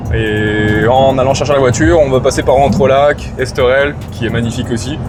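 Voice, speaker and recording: At a moderate pace and with ordinary pitch variation, the speaker talks over background music. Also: man, medium pitch for a man. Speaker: vlogger. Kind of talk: casual chat.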